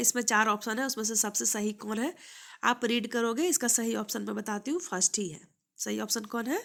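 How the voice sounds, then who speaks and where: A woman speaks at a moderate pace in a fairly high pitch with ordinary pitch variation, a bright, sharp tone and vocal fry. The recording is very clean, with a silent background. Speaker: maths teacher. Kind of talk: exam prep tutorial.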